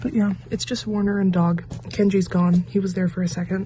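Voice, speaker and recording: A woman with a fairly low pitch and lively intonation talks at a fairly quick pace over noticeable background noise. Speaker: booktuber. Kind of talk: casual reading vlog.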